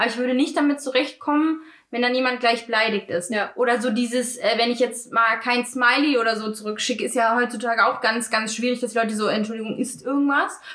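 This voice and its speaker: A high-pitched woman at a very fast pace, hardly any pauses, fairly even intonation, amid noticeable background noise. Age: 20s. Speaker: podcast co-host. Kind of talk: casual chat.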